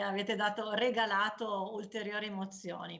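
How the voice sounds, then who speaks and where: There is audible room echo and noticeable background noise as a woman talks fairly slowly. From northern Italy, Piedmont (Canavese). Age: 40s. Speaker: cancer survivor, cyclist and author. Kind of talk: personal testimony. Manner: hesitant, with fillers.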